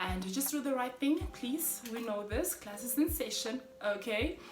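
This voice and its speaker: A woman speaks at a moderate pace. Background noise and room echo are both audible. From Namibia. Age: 30s. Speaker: vlogger. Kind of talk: casual vlog monologue. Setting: at home, kids sleeping. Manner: loud; animated.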